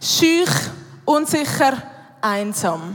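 A woman with a Swiss accent speaks in a high voice with very wide pitch swings. Noticeable background noise runs underneath. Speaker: church youth worker. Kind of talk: sermon. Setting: stage with audience.

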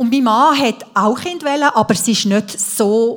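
A woman's normal speaking voice, fairly high in pitch, at a moderate pace with ordinary pitch variation. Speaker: speaker sharing life testimony. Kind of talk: testimony.

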